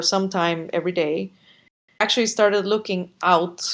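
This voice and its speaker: At a moderate pace, the speaker talks with a Spanish accent and fairly even intonation. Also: woman. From Costa Rica. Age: 30s. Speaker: podcast guest. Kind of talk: interview conversation. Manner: hesitant, many fillers.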